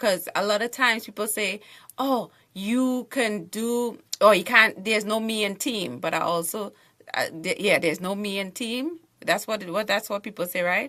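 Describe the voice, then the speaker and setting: An animated woman's voice with a Trinidadian accent, fairly high and bright, sharp in tone, with ordinary pitch variation. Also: moderate pace. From Trinidad and Tobago. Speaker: author and TV show host. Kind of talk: panel discussion.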